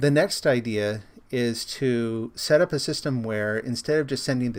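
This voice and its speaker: A man's voice at medium pitch. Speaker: streamer and software developer. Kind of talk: live stream tutorial. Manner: casual.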